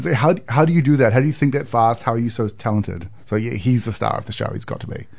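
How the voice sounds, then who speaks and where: A man's somewhat breathy, medium-pitched voice at a very fast pace, with ordinary pitch variation and hardly any pauses. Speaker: improv performer. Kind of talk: casual chat. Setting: studio. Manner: joking, playful.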